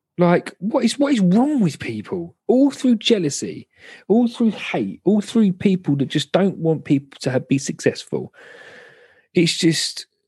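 In a southern English accent, a man speaks at a fairly slow pace in a high voice with very wide pitch swings and a dark, mellow tone, the sound dry and close with no echo. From southern England. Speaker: podcast host. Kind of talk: casual chat. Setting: video call.

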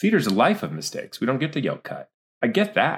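A man with vocal fry talks at a very fast pace. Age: 40s. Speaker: actor and director. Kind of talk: casual interview.

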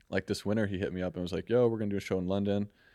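A man talks in a monotone with flat intonation. His tone is dark and mellow, and the sound is dry and close with no echo. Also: quiet background. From US Midwest, St. Louis, Missouri. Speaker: artist and designer. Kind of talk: casual chat.

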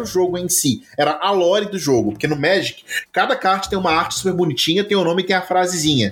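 Over noticeable background noise, a high-pitched man talks at a very fast pace with hardly any pauses and ordinary pitch variation. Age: 30s. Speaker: podcast co-host. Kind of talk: casual chat.

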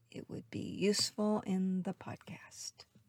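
A woman's somewhat breathy voice with an American accent, dry and close with no echo. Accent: faint Southern, mostly trained out. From US South. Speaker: astrology podcast host. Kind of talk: solo astrology monologue.

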